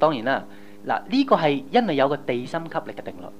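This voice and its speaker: A man speaks at a very fast pace with very wide pitch swings. There is noticeable background noise. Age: young. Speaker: pastor. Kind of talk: sermon. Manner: animated.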